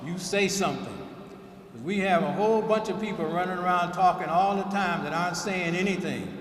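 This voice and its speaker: A man with a high voice speaks at a fairly quick pace and fairly even intonation. Noticeable background noise and audible room echo fill the recording. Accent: American. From US South, Alabama. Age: 70s. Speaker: keynote speaker. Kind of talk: speech at a ceremony.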